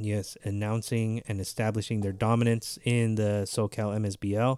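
The recording is very clean, with a silent background. A man with a medium pitch talks at a fairly slow pace in a normal speaking voice. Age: 30s. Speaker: amateur baseball podcast co-host. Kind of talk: casual chat.

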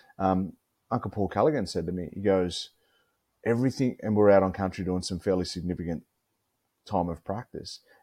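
Speaking with an Australian accent, a man has a very deep, low pitch and a dark, mellow tone with ordinary pitch variation. He moves at a fairly quick pace but takes long, frequent pauses, on a very clean recording with a silent background. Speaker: mental health advocate, former pro rugby player. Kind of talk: casual interview chat. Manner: repetitive, halting.

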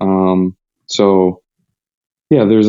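A man with a fairly low voice talks in a monotone, flat intonation. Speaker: hockey goalie. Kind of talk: casual interview. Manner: halting.

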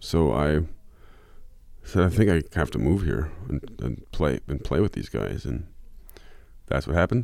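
Long, frequent pauses break up fairly slow speech that has very wide pitch swings and vocal fry. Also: man, very deep, low pitch for a man. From Michigan. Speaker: country and Americana musician. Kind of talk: interview. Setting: radio studio.

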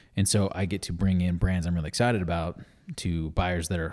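Against a silent background in a very clean recording, a man speaks very fast at a very deep, low pitch. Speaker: business founder and former Walmart buyer. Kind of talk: casual interview chat.

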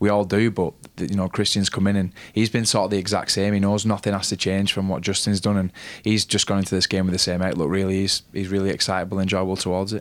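A fast-talking man with a northern English accent, fairly low in pitch, monotone and flat in intonation, very even in loudness, at a very fast pace. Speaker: rugby league player. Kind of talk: casual sports chat.

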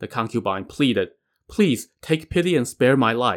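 Lively intonation marks an unforced reading voice against a quiet background.

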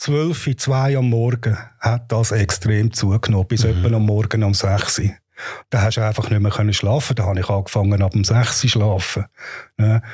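With very even loudness, a man talks at a moderate pace and fairly low pitch with fairly even intonation. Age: 60s. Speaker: patient. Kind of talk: personal testimony. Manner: halting.

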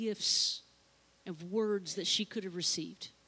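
A woman talks in a normal speaking voice at a moderate pace with ordinary pitch variation. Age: 40s. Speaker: pastor. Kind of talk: sermon. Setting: church.

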